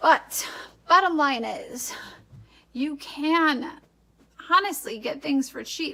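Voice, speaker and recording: Raising and projecting her high voice, a woman with an American accent talks at a very slow pace with lively intonation and long, frequent pauses. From Wisconsin, US Upper Midwest. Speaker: vlogger. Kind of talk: casual vlog talk. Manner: conversational, frequent um fillers.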